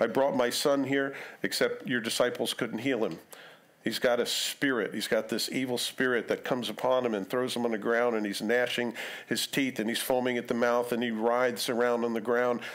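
A man's fairly quick, flat monotone against a quiet background. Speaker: preacher. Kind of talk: sermon. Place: church. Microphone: headset.

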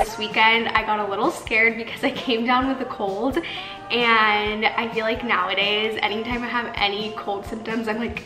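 Over clear music in the background, a woman talks at a moderate pace with fairly even intonation. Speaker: lifestyle vlogger. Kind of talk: casual vlog chat. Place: kitchen. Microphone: camera far.

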